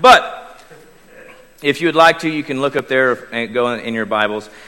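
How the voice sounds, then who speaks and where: This man speaks with an Oklahoma accent and lively intonation. His pace is fairly quick. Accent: Oklahoma Southern US. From Oklahoma, US. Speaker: lay preacher. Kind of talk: sermon. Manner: chatty.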